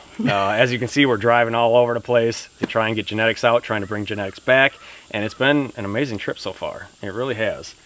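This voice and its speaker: A man with a Wisconsin accent talks at a very fast pace and medium pitch, his intonation fairly even, over noticeable background noise. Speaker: pig farmer. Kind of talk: casual interview chat.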